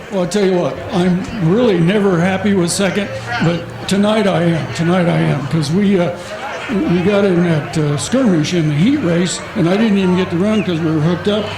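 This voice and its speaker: With a high pitch, ordinary pitch variation and very even loudness, a man speaks at a moderate pace amid noticeable background noise and audible room echo. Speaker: demolition race driver. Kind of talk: post-race interview.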